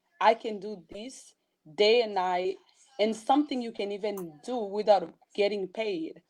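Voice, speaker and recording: A fairly high-pitched woman with a non-native accent at a fairly slow pace, ordinary pitch variation and big swings in loudness. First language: not English. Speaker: blogger and motivational speaker. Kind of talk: interview.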